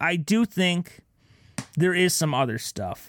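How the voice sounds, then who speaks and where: At a fairly slow pace, a man with an unremarkable speaking voice speaks with lively intonation. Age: 20s. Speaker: podcast co-host. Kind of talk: casual chat.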